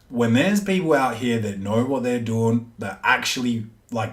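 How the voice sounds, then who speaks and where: A man talks in an ordinary speaking voice with lively intonation. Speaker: podcast host. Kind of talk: casual monologue.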